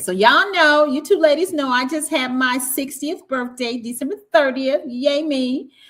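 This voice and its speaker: Speaking at a moderate pace, a woman has a Southern US accent. Noticeable background noise runs behind her. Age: 60s. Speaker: podcast host. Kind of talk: casual chat.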